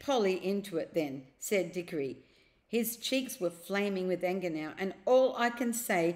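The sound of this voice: An unforced reading voice is heard in this recording.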